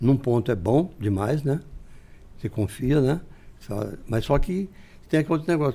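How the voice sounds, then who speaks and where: Lively intonation marks this man's fairly high voice. His tone is dark and mellow. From interior of São Paulo state, Brazil. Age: 70s. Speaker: businessman, retired military police officer. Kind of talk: podcast interview. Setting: studio. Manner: conversational, frequent tag 'né'.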